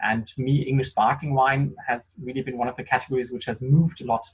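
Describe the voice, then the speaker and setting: A man with a German accent talks at a very fast pace. His voice is somewhat breathy, with a medium pitch. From Germany. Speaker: sommelier. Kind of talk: online wine tasting conversation.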